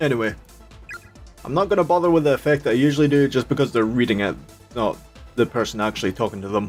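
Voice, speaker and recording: Music plays behind a man with a Scottish accent who speaks at a medium pitch and a very fast pace, with lively intonation and long, frequent pauses. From Scotland. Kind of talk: casual talk to viewers.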